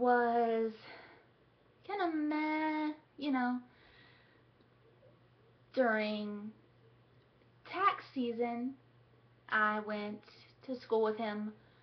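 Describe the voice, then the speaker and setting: High in pitch, a woman speaks at a very slow pace with lively intonation and long, frequent pauses. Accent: American. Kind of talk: casual vlog talk to camera.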